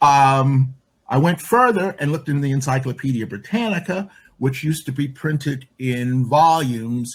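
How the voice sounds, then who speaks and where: A man talks at a moderate pace, his medium-pitched voice somewhat breathy and his pitch variation ordinary. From Chicago. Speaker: LGBTQ and women's activist. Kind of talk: interview answer.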